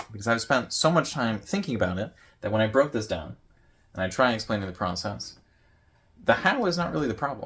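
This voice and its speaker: A man at a fairly quick pace with lively intonation and long, frequent pauses, on a very clean recording with a silent background. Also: medium pitch for a man. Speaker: YouTuber vlogging about note-taking. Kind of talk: casual vlog presentation. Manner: loud; rambling, with filler words.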